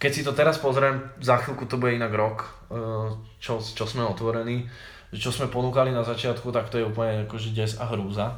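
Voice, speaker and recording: In a room with audible echo and noticeable background noise, a man of medium pitch talks at a fairly quick pace with fairly even intonation. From Slovakia, Záhorie (Malacky). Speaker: bistro owner and club promoter. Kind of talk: casual chat.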